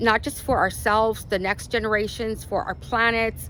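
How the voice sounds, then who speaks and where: A woman speaks in a Spanish accent. Her pace is moderate. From Arizona, US (born in Mexico). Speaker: lifestyle vlogger. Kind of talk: casual vlog monologue. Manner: casual, many fillers.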